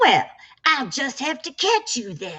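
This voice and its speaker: A woman is speaking. She uses a put-on character voice. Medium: read story.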